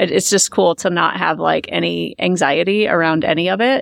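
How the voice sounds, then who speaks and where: Her voice fairly low and full of vocal fry, a woman speaks with an American accent. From US Midwest, Omaha, Nebraska. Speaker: financial coach. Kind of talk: casual interview.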